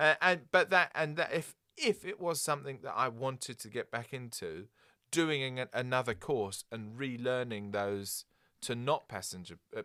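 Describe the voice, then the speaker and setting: In a very clean recording with a silent background and a dry, close sound free of echo, a man with a bright, sharp tone speaks at medium pitch and a moderate pace, his intonation lively and his loudness swinging widely. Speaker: improv performer and podcast guest. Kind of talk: casual chat.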